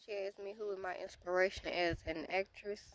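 With an American accent, a woman talks at medium pitch in a monotone, flat intonation, the sound dry with no echo and light background noise behind her. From United States. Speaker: YouTuber; vlogger. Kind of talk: casual Q&A vlog. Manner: hesitant, many filler words. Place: forest. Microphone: phone near.

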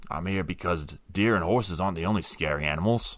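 This is a man doing a put-on character voice. He goes at a very fast pace with a very deep, low pitch.

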